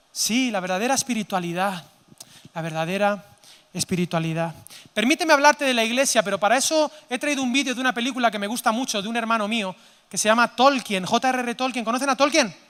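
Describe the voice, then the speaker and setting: A man speaks very fast in an extremely high pitch. His tone is animated, with lively intonation. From Spain, Zaragoza (Aragon). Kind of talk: sermon-style conference talk. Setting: stage with audience. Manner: animated, interactive with audience.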